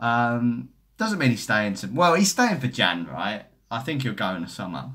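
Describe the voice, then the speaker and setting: In a Cockney accent, a man talks at a moderate pace and medium pitch with a bright, sharp tone and lively intonation, on a very clean recording with a silent background. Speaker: football YouTuber. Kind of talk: live stream chat reading comments. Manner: casual, rambling.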